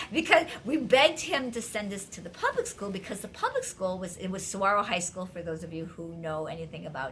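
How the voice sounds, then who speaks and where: Over noticeable background noise, a woman with an American accent talks fairly quickly and enthusiastically at medium pitch, with lively intonation, hardly any pauses and big swings in loudness. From US Midwest (Wisconsin). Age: 60s. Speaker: life coach and video host. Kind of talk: casual vlog talk to viewers.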